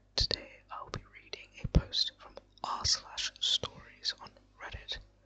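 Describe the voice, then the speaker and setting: With noticeable noise in the background, a whispered voice proceeds at a fairly slow pace. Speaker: ASMR creator. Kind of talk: casual talk to camera.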